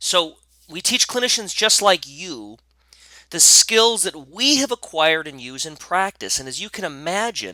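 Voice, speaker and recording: In a dry, close recording with no echo, a man with a high pitch and a bright, sharp tone makes very wide pitch swings and big swings in loudness. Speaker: functional medicine educator. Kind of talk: webinar presentation. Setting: online webinar. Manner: fast.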